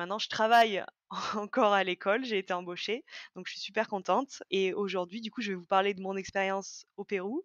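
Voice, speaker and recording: At a fairly quick pace, a woman speaks in a medium pitch with fairly even intonation, the sound dry and close with no echo. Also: quiet background. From France, Auvergne (Haute-Loire, near Brioude). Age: 20s. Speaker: former business student, school staff member. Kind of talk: podcast interview. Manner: hesitant, many fillers.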